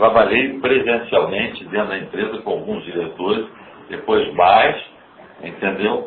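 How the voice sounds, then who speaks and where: Audible room echo and noticeable background noise accompany a man talking at a fairly slow pace. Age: 80s+. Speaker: company founder. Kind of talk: earnings call Q&A.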